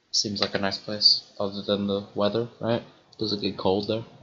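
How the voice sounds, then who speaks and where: A man with an American accent speaks at a moderate pace in a fairly low pitch. His tone is bright and sharp, and his intonation stays monotone and flat. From partly Colorado, US (ages four to eleven). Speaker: gaming streamer. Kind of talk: casual chat while gaming livestream.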